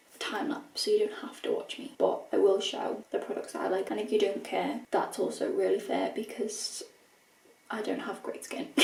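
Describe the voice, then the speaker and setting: A woman speaks with a British accent. Noticeable background noise runs through the clip. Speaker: vlogger. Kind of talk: casual vlog chat to camera. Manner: fast; animated.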